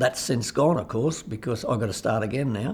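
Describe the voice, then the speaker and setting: A man's somewhat breathy voice at medium pitch, moderate pace and ordinary pitch variation. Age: 70s. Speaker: cancer patient. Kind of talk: testimony.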